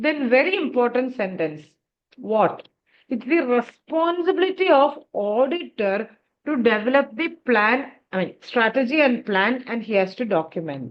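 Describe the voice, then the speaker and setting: A woman's voice, high in pitch. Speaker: teacher. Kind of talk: lecture. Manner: animated.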